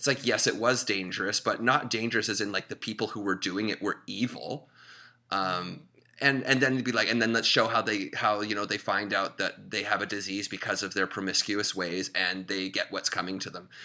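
A man's fairly low voice with a bright, sharp tone and fairly even intonation, at a fairly quick pace, on a very clean recording with a silent background. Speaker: filmmaker and comedian. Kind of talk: casual chat.

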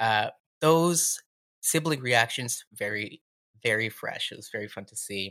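On a very clean recording with a silent background, a man at a medium pitch speaks fairly slowly with a bright, sharp tone, lively intonation and big swings in loudness. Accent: Canadian. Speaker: comedian and writer. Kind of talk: casual chat.

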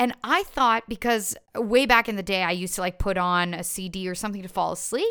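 Heard in a very clean recording with a silent background, a woman with a Canadian accent speaks in an animated tone. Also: medium pitch for a woman, ordinary pitch variation, hardly any pauses. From Canada (Ottawa, Ontario; born in Montreal). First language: French. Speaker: stage performer. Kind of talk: casual chat.

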